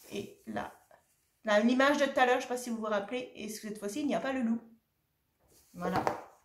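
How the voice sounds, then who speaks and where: Through audible room echo, a woman with a fairly high pitch talks at a fairly quick pace, broken by long, frequent pauses. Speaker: shop owner presenting craft products. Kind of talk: product presentation video. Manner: animated.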